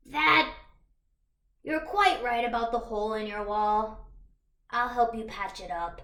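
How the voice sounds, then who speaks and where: A put-on character voice, female-sounding and fairly high-pitched, at a fairly slow pace with long, frequent pauses. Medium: read story.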